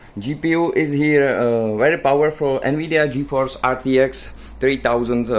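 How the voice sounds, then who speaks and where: This man speaks with a Czech accent. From Czech Republic. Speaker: tech YouTuber. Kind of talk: product showcase. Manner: halting, many fillers.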